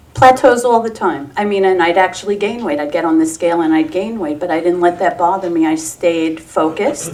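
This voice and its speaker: A woman with a fairly low voice talks at a fairly quick pace with hardly any pauses and ordinary pitch variation, over noticeable background noise. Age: 60s. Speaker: weight loss program client. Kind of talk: testimony. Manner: animated.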